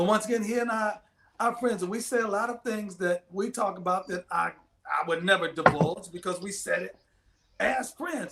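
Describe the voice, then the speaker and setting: Speaking in a raised, projected voice, a man uses a high pitch with ordinary pitch variation and long, frequent pauses. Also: moderate pace. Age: 60s. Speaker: pastor. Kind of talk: casual chat. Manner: halting.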